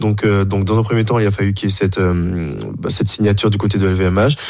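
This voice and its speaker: Over music in the background, a man speaks at a fairly low pitch. His pace is moderate and his intonation flat and monotone. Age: 30s. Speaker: fencer. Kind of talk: casual chat.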